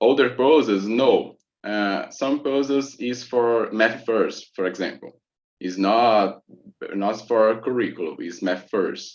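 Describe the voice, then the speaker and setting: The speaker talks at a very slow pace with a Portuguese accent. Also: man. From Brazil. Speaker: math teacher. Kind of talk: conference Q&A answer. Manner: halting, hesitant.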